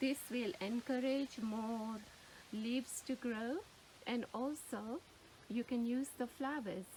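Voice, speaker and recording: Her pitch high and varying in an ordinary way, a woman speaks at a very slow pace with long, frequent pauses. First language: Gujarati. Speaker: gardening YouTuber. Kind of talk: tutorial. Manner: hesitant, searching for words.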